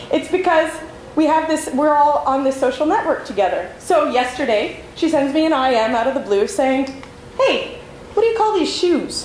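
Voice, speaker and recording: A woman's high voice moves in very wide pitch swings while her loudness stays very even. There is noticeable background noise and audible room echo. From Canada, Montreal, Quebec. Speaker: librarian and conference speaker. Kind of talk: conference talk. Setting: stage with audience. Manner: fast.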